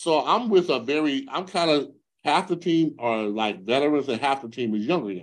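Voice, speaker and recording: With lively intonation and an American accent, a man talks at a moderate pace and fairly high pitch. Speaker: retired football player. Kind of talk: interview storytelling. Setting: podcast. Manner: animated.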